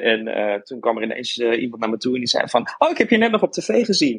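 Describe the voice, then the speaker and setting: Talking at a fairly quick pace, a man has an unremarkable speaking voice in a medium pitch. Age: 30s. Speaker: graphic designer, former TV contestant. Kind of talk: casual interview.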